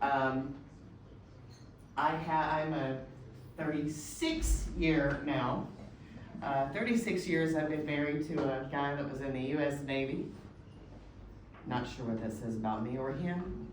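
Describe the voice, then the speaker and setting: Audible room echo and noticeable background noise surround a woman with a very deep, low pitch who talks at a fairly slow pace with ordinary pitch variation and long, frequent pauses. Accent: American. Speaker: agile consultant and executive. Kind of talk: presentation. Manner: hesitant with filler.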